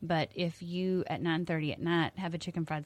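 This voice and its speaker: This woman has a very deep, low pitch and a Texan accent. She talks at a moderate pace with fairly even intonation. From Texas Hill Country. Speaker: health coach and teacher. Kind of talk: radio interview. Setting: radio studio.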